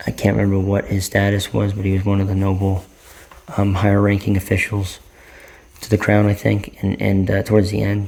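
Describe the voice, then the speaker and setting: Quiet and monotone, a man speaks with flat intonation at a fairly quick pace. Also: fairly low pitch for a man. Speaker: vlogger, movie reviewer. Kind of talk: casual vlog movie review. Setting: at home late at night. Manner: quiet, subdued to avoid disturbing neighbors; hesitant, many fillers and repetitions.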